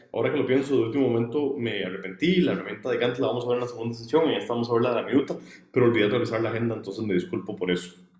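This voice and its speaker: At a very fast pace, a man with a medium pitch and a somewhat breathy voice talks amid audible room echo. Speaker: student workshop instructor. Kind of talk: online workshop lecture. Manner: fast when excited; hesitant fillers.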